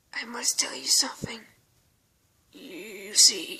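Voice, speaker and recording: A woman whispers in a put-on character voice. It sounds raspy and moves at a fairly slow pace. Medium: read story. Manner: halting, stuttering.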